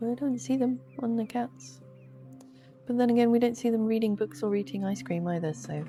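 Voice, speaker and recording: Music plays in the background as a woman at a medium pitch speaks with very wide pitch swings. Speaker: gaming youtuber. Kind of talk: sleepy gameplay commentary. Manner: soft-spoken; slow.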